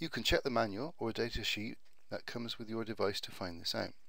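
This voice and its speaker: His pitch varies in an ordinary way. The man's voice sits at a medium pitch. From Bristol, UK. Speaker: IT networking retailer. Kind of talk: tutorial narration over slides.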